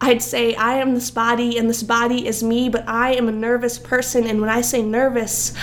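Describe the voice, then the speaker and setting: A woman with a normal speaking voice and fairly high pitch talks at a moderate pace. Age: young. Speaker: poet. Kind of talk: poetry reading; casual chat.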